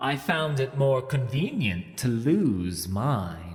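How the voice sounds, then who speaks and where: Using a put-on character voice, the speaker goes at a very slow pace in a calm tone. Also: man, medium pitch for a man. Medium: read story. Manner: cold, calm, mocking.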